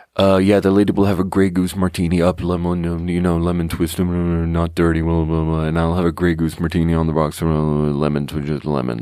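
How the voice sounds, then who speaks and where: In a put-on character voice with a very deep, low pitch, a man mumbles at a moderate pace in a flat monotone over light background noise. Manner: mumbled, rushed.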